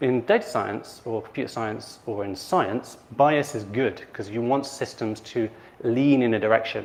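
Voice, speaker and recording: A man speaks fairly slowly in a medium pitch with ordinary pitch variation. He has a plain, everyday voice. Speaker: conference speaker on AI ethics. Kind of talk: conference talk.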